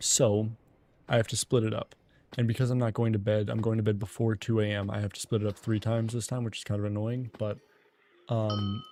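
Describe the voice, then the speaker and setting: A man speaks in a dark, mellow tone at a fairly low pitch, with monotone, flat intonation. The recording is very clean, with a silent background. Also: fairly quick pace. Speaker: video game streamer. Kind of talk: casual live stream chat. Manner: softer, low-key.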